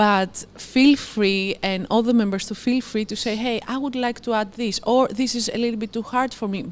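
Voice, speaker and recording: The speaker moves at a moderate pace. The intonation stays fairly even. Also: woman, fairly high pitch for a woman. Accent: Greek. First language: Greek. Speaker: nutrition challenge coach at a gym. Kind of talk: live Q&A chat. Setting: live stream.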